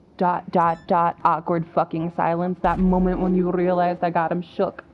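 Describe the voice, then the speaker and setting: Music plays in the background while a woman speaks at a fairly low pitch. Her tone is animated and her loudness very even. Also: moderate pace. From Russia, Moscow. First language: Russian. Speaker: gaming streamer. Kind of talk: casual chat.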